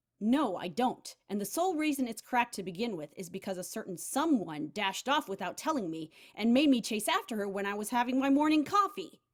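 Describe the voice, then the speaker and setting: A woman's gruff, put-on character voice, fairly high in pitch with very wide pitch swings, at a fairly quick pace. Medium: read story. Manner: curt, gruff.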